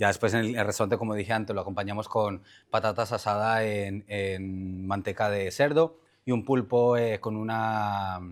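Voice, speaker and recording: Keeping his intonation fairly even, a man speaks at a moderate pace and a fairly low pitch. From Colombia. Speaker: chef. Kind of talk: talk explaining a recipe. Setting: conference with audience.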